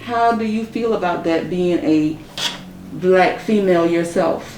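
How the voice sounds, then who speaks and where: A woman speaks at a medium pitch with ordinary pitch variation, over noticeable background noise. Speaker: interviewer. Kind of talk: interview questions.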